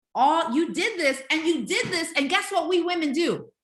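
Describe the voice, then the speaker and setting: A woman's raised, projected voice carries a bright, sharp tone, with audible room echo around it. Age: 50s. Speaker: life coach and speaker. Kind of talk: online webinar class. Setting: video webinar.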